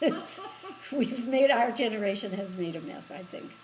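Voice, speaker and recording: Lively intonation marks this woman's American accent. She speaks at a fairly slow pace, with audible room echo. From US Midwest, Michigan. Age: 80s+. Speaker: interviewee. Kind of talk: interview. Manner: halting.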